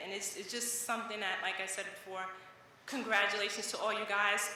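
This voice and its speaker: With a New York accent, a woman speaks at a medium pitch in a monotone, flat intonation, over noticeable background noise and audible room echo. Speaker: parent of a graduate. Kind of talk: graduation speech. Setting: graduation ceremony stage.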